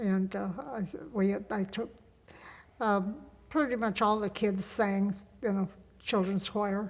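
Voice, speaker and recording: A fairly slow delivery in a Midwestern American accent, with fairly even intonation and long, frequent pauses. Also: woman, medium pitch for a woman. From US Midwest, Indiana. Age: 80s+. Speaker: grandmother interviewee. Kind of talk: casual chat. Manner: halting.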